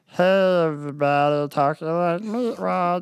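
A put-on character voice at a middle pitch and a fairly slow pace. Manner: silly, cartoonish.

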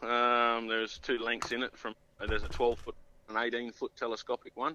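A man with an Australian accent, medium pitch and a bright, sharp tone, at a fairly quick pace. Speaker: fishing tackle sales rep. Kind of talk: casual interview. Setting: phone call.

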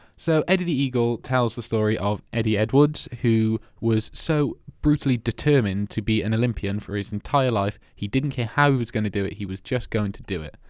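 Speaking in a Welsh accent, a man uses a medium pitch with ordinary variation. He goes at a fairly quick pace with hardly any pauses. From Wales. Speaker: film podcast host. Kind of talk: casual chat.

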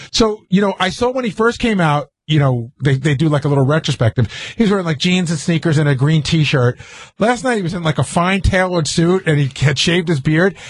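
A man talks in a normal speaking voice at a fairly quick pace. His pitch is fairly high and his intonation lively. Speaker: radio show co-host. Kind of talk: casual radio banter. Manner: excitable, rambling.

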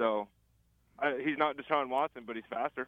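At a fairly quick pace, a man speaks in an unremarkable speaking voice of medium pitch with ordinary pitch variation. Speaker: college football analyst. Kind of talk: casual sports talk. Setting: phone call. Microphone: phone line, robotic sound.

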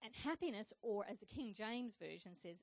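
With vocal fry and lively intonation, the speaker talks at a moderate pace. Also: woman. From Scotland. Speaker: preacher. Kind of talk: sermon. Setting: church.

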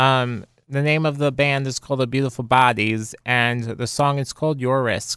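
This man's voice is monotone, with flat intonation. He speaks at a moderate pace with a medium pitch. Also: very clean recording, silent background. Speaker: radio host. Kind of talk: radio DJ patter: song intros and back-announcing. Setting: radio studio. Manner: halting, filler-heavy ('um'), plain and low-key.

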